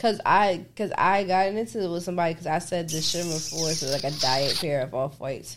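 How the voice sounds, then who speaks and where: Talking at a fairly quick pace with hardly any pauses, a woman speaks with an American accent. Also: ordinary pitch variation. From New Jersey. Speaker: podcast co-host. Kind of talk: casual chat. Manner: loud.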